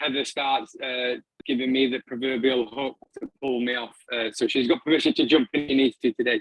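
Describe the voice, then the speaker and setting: In a northern English accent, a man speaks with monotone, flat intonation. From northern England, Doncaster. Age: 40s. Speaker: filmmaker and arts practitioner. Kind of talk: talk to an online audience. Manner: halting, many fillers and repeats.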